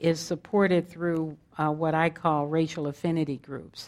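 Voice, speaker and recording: Fairly slow speech with an American accent, over a quiet background. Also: woman. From US West Coast, South Central Los Angeles. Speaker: meditation teacher. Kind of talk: dharma talk.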